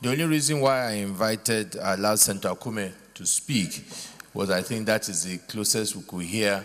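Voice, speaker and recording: A man with a normal speaking voice, fairly low pitch and ordinary pitch variation. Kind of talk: formal ruling speech. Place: hall. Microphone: podium.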